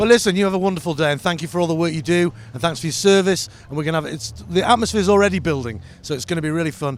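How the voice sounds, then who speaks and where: A man's high-pitched, lively voice at a very fast pace, with noticeable background noise. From England. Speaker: radio host. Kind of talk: live commentary. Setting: standing in a window above the street.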